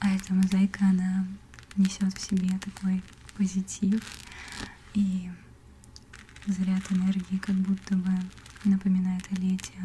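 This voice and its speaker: Over noticeable background noise, a woman with a medium pitch and a gentle tone speaks fairly slowly in a monotone, flat way, with very even loudness and long, frequent pauses. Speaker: ASMR content creator and artist. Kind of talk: casual talk to camera, ASMR whisper. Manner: soft, whispered, gentle.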